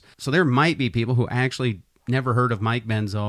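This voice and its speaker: A man talks in an ordinary speaking voice. His pitch is medium, with ordinary pitch variation. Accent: American. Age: young. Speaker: podcast host. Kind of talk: casual chat.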